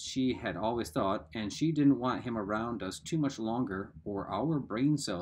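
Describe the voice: The delivery is plain reading aloud.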